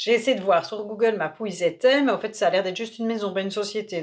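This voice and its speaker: A woman talks at a very fast pace in a Belgian accent. Her pitch varies in an ordinary way. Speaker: travel vlogger. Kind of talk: casual chat.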